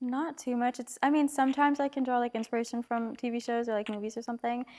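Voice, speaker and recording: A soft-spoken woman's high-pitched voice, monotone and flat, at a very fast pace. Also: dry, close sound with no echo. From Trinidad. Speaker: singer-songwriter. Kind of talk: casual interview. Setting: studio.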